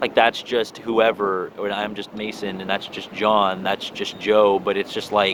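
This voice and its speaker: A man with an American accent speaks at a fairly low pitch. There is noticeable noise behind him. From US West Coast, San Diego. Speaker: vlogger. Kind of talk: personal monologue. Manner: casual, filler-heavy.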